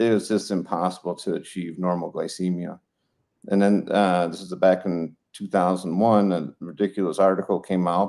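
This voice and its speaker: A man with an American accent speaks at a moderate pace in a very deep, low voice with a dark, mellow tone and flat, monotone intonation over a quiet background. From Colorado. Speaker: retired veterinarian; guest. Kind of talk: interview; interview answer. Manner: casual, many fillers. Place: home room. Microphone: video call.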